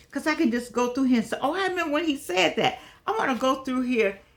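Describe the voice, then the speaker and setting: This woman's animated tone swings very widely in pitch while noticeable background noise runs beneath. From US Midwest (Gary, Indiana). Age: 80s+. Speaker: online talk show host. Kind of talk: casual monologue to viewers.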